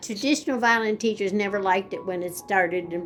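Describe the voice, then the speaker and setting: A woman speaks with ordinary pitch variation while music plays in the background. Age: 80s+. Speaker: violin teacher. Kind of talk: interview answer.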